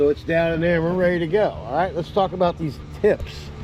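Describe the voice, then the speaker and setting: High-pitched male speech amid noticeable background noise. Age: 60s. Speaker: pressure washing business owner. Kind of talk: tutorial. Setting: outdoors. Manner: casual, conversational.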